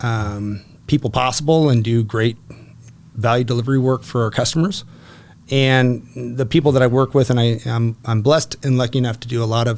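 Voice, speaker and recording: A man at a fairly quick pace and medium pitch. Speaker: commercial real estate broker. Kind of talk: podcast interview. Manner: loud; animated.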